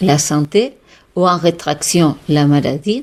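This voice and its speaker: A woman speaks with a Catalan accent and ordinary pitch variation. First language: Catalan (speaking French). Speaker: holistic therapist and author. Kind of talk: radio interview. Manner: animated; halting.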